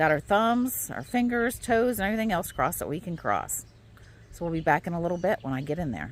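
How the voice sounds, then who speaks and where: A woman with a fairly low voice talks very fast with vocal fry and very wide pitch swings. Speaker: homesteading vlogger. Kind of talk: casual vlog tutorial. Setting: outdoors.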